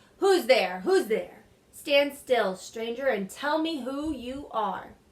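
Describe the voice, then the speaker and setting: A woman does a put-on character voice, growling at a high pitch. Her pace is fairly slow. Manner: menacing, demanding.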